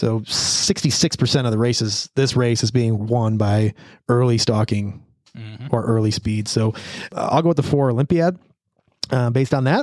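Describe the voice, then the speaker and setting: An ordinary speaking voice from a man, at medium pitch and a moderate pace, with ordinary pitch variation. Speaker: podcast host. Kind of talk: casual banter, horse racing handicapping. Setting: studio.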